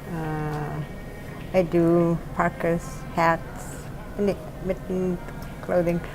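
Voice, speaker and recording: With an Alaskan accent, a woman talks at a very slow pace in a fairly low, monotone, flat voice, leaving long, frequent pauses amid noticeable background noise. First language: Yupik. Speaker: retired teacher and doll maker. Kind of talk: interview. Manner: halting.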